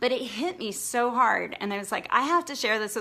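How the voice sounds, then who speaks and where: A woman speaks with a high pitch. Her tone is bright and sharp. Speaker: blogging coach. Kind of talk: online training session.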